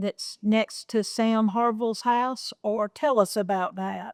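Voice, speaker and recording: With a Georgia accent, a woman speaks in a fairly high pitch with fairly even intonation. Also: dry, close sound with no echo. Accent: Southern US, Georgia. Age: 60s. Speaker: historical society director, interviewer. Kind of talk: oral history interview.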